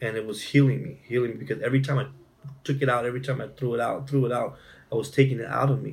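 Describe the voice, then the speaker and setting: A man talks at a very fast pace in a monotone, flat intonation. The room echo is audible. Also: medium pitch for a man. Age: 40s. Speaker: domestic violence survivor and speaker. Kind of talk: personal testimony in interview.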